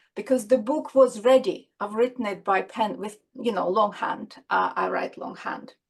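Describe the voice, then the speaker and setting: A woman speaks at a moderate pace with a fairly high pitch, ordinary pitch variation, vocal fry and hardly any pauses. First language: not English. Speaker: children's author. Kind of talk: interview.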